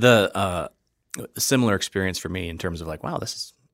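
A man with a Wisconsin accent speaks at a fairly low pitch and a fairly quick pace with ordinary pitch variation, the sound dry and close with no echo on a very clean recording with a silent background. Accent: Upper Midwest (Wisconsin) American. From US Midwest, Wisconsin (Fox River Valley). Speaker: restaurant critic and beer writer. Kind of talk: casual chat. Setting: studio.

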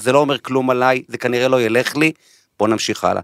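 A man talking at a fairly quick pace, dry and close with no echo. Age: 40s. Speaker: podcast host, marketing executive. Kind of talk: interview; scripted intro. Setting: studio.

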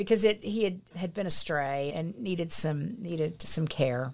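A woman in a Texan accent at a fairly low pitch, moderate pace and ordinary pitch variation. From Texas, rural Pleasanton. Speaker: entrepreneur. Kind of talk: casual interview.

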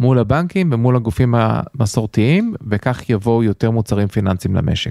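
Dry and close with no echo, the recording carries a man's dark, mellow tone. He speaks at a fairly slow pace with lively intonation. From United States. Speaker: central bank executive. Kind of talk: interview.

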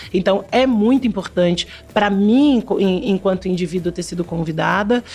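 The voice keeps a moderate pace, and there is music in the background. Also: woman. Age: 40s. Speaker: television creative director. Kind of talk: interview.

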